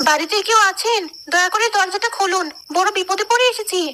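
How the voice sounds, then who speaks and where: A cartoonish character voice at a moderate pace. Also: female-sounding voice, extremely high pitch for a woman. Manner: scheming, coy.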